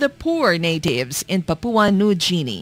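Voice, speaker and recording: Music plays in the background as a woman speaks. Her pace is fairly slow, and the sound is dry with no echo. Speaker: documentary narrator. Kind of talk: documentary narration.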